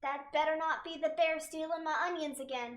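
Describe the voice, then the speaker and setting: A woman uses a put-on character voice pitched extremely high. Her pace is moderate. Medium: virtual streamer. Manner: calm, soft.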